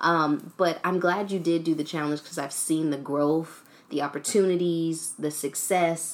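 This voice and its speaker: Moving at a moderate pace, a woman speaks in an unremarkable speaking voice, fairly low in pitch with fairly even intonation. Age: 20s. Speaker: podcast host. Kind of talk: casual interview chat.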